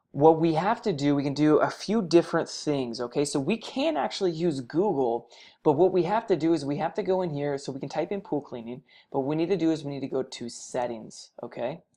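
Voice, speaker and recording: Against a quiet background, a woman with a very deep, low pitch and a dark, mellow tone speaks fairly quickly with lively intonation. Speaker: web marketing tutorial presenter. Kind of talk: screen-recorded tutorial. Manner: fast; casual, with fillers and self-corrections.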